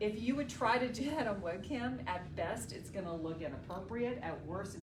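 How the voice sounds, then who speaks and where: A woman with an American accent speaks at a fairly quick pace and a fairly low pitch, her tone animated and her pitch swinging very widely. Audible room echo and noticeable background noise fill the recording. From US South, North Carolina (Raleigh). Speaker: communication trainer, former TV journalist. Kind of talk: lecture. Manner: projected voice.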